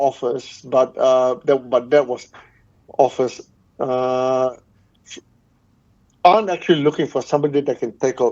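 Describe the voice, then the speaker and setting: Fairly high in pitch yet dark and mellow in tone, a man talks at a fairly slow pace with fairly even intonation and long, frequent pauses. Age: 70s. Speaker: loudspeaker brand owner. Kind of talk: interview. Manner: halting, repetitive.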